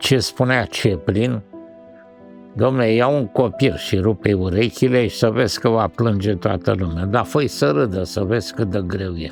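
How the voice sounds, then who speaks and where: Someone speaks at a fairly slow pace with lively intonation while music plays in the background. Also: man, fairly low pitch for a man. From Romania. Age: 70s. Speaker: animation director and writer. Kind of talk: documentary interview answer.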